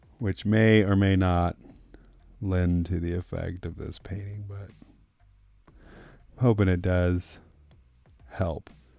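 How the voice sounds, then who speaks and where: Soft-spoken and relaxed in tone, a man with a dark, mellow, very deep, low voice talks at a very slow pace in a monotone, flat intonation, with long, frequent pauses and big swings in loudness. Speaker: artist painting live. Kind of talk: live painting stream chat. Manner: casual, relaxed. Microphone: no lavalier, far from the mic.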